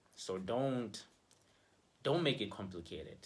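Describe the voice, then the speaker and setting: A man is talking. There is audible room echo. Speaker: relationship vlogger. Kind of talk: casual advice vlog. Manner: conversational, filler-heavy.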